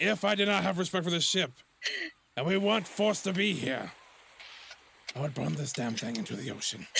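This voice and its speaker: A raspy, put-on character voice from a man, high-pitched, with lively intonation, a fairly quick pace and long, frequent pauses. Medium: actual play. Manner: coarse, profane.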